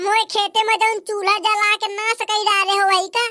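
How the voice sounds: In a cartoonish character voice, a woman speaks squeaky and extremely high at a moderate pace, with monotone, flat intonation and a dry, close sound with no echo.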